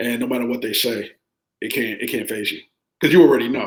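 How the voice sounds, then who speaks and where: A man speaks with ordinary pitch variation. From New York. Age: 30s. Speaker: podcast guest. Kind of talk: casual chat.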